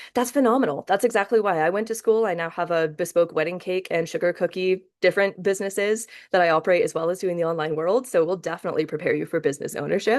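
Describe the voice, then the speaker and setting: A woman's animated, very fast speech at a medium pitch, with ordinary pitch variation against a quiet background. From Scotland. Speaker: pastry chef instructor. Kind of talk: online class lecture. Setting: live video session.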